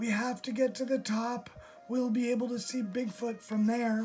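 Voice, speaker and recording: A man does a put-on character voice at an extremely high pitch, monotone and flat at a moderate pace. Clear music plays in the background. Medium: read story. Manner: eager, excitable.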